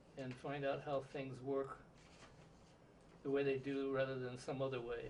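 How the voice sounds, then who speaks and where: Speaking with an American accent, a man keeps a monotone, flat intonation at a medium pitch and moderate pace, with audible room echo around him. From Southern California. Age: 70s. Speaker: interviewee, retired physicist. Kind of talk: oral history interview. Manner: halting, many filler words.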